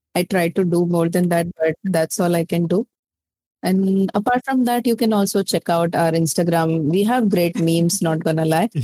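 Spoken with an Indian accent, the delivery moves at a moderate pace with ordinary pitch variation. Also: woman, fairly low pitch for a woman. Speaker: VTuber content creator. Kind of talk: casual interview.

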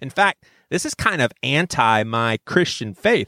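An animated man's voice makes very wide pitch swings, captured dry and close with no echo on a very clean recording with a silent background. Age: 40s. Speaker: podcast host. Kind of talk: casual monologue.

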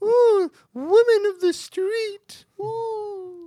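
This put-on character voice is shrill and pitched extremely high. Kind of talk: comic imitation of a sketch-comedy lady. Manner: funny, comedic.

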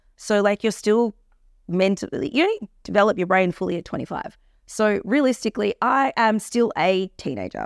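The sound is dry and close, with no echo. A woman with an Australian accent talks at a moderate pace with vocal fry. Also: medium pitch for a woman, lively intonation, very clean recording, silent background. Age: 30s. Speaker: cosmetic injector and entrepreneur. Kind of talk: casual chat.

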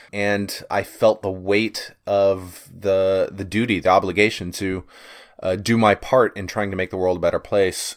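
Against a silent background in a very clean recording, a man speaks at a fairly low pitch. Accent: Texan. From Texas. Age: 30s. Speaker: podcaster, former socialist activist. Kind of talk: casual interview chat.

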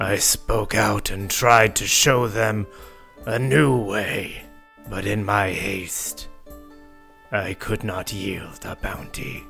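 Clear music plays in the background as a man speaks very slowly at a fairly low pitch. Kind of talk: grave formal fantasy speech. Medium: actual play. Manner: solemn, deadpan, no contractions.

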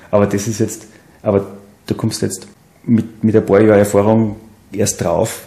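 A man speaks at a moderate pace in a fairly low pitch, his intonation monotone and flat, with long, frequent pauses and noticeable background noise behind him. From Salzburg region, Austria (Seekirchen am Wallersee). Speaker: wood industry engineer, alumnus. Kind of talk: casual interview. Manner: halting, many fillers and repetitions.

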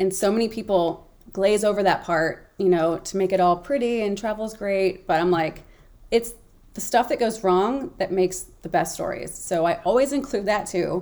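A woman with an American accent and a normal speaking voice talks at a moderate pace and medium pitch, with ordinary pitch variation. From US South, Memphis, Tennessee. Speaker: travel blogger. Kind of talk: casual interview chat.

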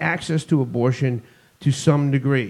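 A man with a Boston accent talks at a medium pitch with ordinary pitch variation. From US Northeast (Boston area). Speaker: podcast co-host. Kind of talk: casual chat.

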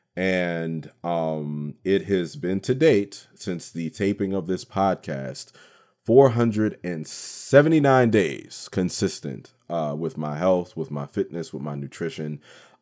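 A man with a very deep, low voice and a dark, mellow tone speaks very slowly but with hardly any pauses and lively intonation. The recording is very clean, with a silent background. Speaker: radio host and voiceover artist. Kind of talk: casual podcast monologue, storytelling. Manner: talkative, casual, animated.

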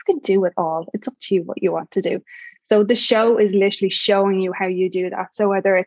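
A woman with an Irish accent at a very fast pace, the sound dry and close with no echo. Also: medium pitch for a woman, ordinary pitch variation. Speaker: podcast host and mom empowerment coach. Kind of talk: podcast interview. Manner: sweet, warm.

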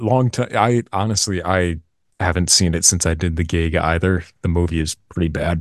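A man talks at a moderate pace in a very deep, low pitch, with ordinary pitch variation and very even loudness. The sound is dry and close with no echo, over a quiet background. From US Northeast, Massachusetts. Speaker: voice actor. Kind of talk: casual chat. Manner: talkative.

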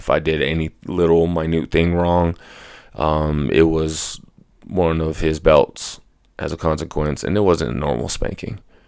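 A man with a very deep, low voice talks at a moderate speed, his intonation staying fairly even. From Colorado, Mexican-American family. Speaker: podcast host. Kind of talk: personal testimony monologue. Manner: halting, many fillers.

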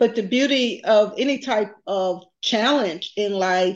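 A woman with an American accent has a plain, everyday voice, medium pitch, ordinary pitch variation and a fairly slow pace. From US South (Texas / Tuskegee, Alabama). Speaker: business executive and nonprofit founder. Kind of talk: interview.

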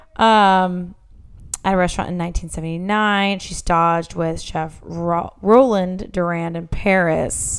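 A woman with an ordinary speaking voice talks at a fairly slow pace, fairly low in pitch, with fairly even intonation. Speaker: podcast host. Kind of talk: casual chat. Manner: loud.

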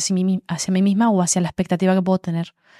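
This dark, mellow voice is recorded dry and close with no echo, against a very clean, silent background. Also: woman. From Málaga, Andalusia, Spain. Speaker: influencer and author. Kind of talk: casual chat.

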